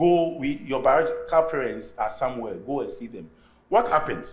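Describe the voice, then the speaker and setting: At a moderate pace, a man talks with audible room echo. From Ghana. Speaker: artist and academic. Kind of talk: lecture.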